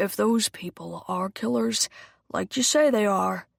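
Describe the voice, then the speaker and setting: A put-on character voice, female-sounding and raspy, at middle pitch and a fairly slow pace, on a very clean recording with a silent background. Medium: read story. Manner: impatient, weary.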